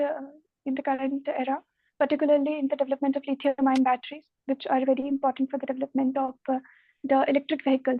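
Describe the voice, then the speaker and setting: A woman speaks softly at a very fast pace. Her pitch is high. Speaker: civil services interview candidate. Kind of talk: mock interview answer. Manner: soft-spoken.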